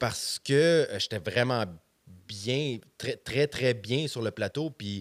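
A man in a Quebec accent speaks at a very slow pace with ordinary pitch variation, over a quiet background. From Quebec, Montreal. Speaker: stand-up comedian. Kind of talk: casual chat. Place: studio. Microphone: studio mic.

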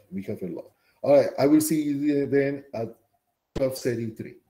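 A man speaks with audible room echo. The background is quiet. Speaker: college bioscience instructor. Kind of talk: lecture. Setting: classroom. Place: home room.

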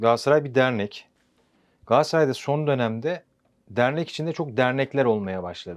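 This man has a normal speaking voice at medium pitch. His pace is moderate and his pitch variation ordinary. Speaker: sports journalist. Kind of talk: football talk-show interview.

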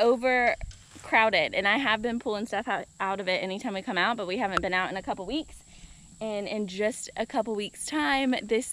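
Recorded dry with no echo over light background noise, a woman talks at a moderate pace with ordinary pitch variation. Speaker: homesteading vlogger. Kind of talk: casual vlog chat. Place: open country. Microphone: phone near.

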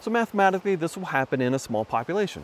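A man talks with lively intonation, the sound dry with no echo and light noise behind him. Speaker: presenter. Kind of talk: explanatory vlog talk. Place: waterside. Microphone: phone near.

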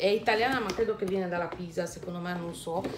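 Here a woman talks with a Romanian accent. There is light background noise. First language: Romanian (speaking Italian). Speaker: YouTuber. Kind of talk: vlog talk to camera. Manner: hesitant, many fillers. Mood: enthusiastic, friendly. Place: home room. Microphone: phone near.

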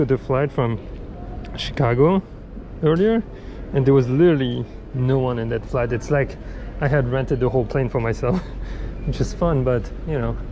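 Music plays behind a man who talks at a moderate pace with ordinary pitch variation and long, frequent pauses. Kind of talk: casual vlog chat. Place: station. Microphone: phone near.

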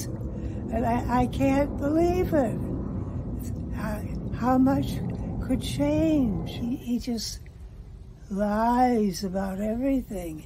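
Speaking at a very slow pace with long, frequent pauses, a woman uses a fairly high pitch and very wide pitch swings over noticeable background noise. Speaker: voter giving testimonial. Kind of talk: interview answer. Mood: worried, upset. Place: home room. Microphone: phone near.

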